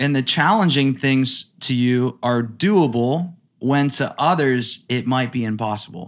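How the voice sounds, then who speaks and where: The man has an ordinary speaking voice with a medium pitch and ordinary pitch variation. He speaks at a fairly slow pace in a very clean recording with a silent background. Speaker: podcast host, acting coach. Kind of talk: casual interview.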